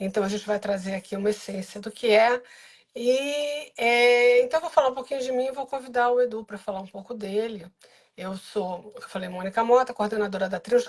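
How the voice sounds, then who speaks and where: Speaking at a moderate pace, a woman has an unremarkable speaking voice, fairly high pitch with ordinary pitch variation, and big swings in loudness. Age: 60s. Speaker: biographical counselor and course coordinator. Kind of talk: live stream interview.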